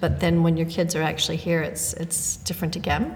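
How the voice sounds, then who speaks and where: A woman's voice, pitched fairly low for a woman, comes through with noticeable background noise. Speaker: podcast co-host, part-time teacher. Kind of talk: casual chat.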